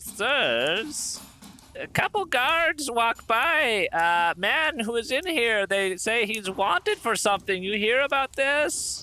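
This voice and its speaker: A man puts on a character voice with extremely high pitch. He speaks at a fairly slow pace. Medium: actual play. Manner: folksy, hesitant.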